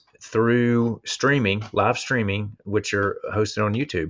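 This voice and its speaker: In a Southern US accent, a man talks at a medium pitch with fairly even intonation. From US South. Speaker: instructional technology coach. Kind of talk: online presentation. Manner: casual, hesitant with fillers.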